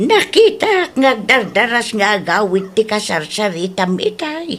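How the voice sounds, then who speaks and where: The pace is fairly slow. This is a put-on character voice. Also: female-sounding voice, fairly high pitch for a woman. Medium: audio drama.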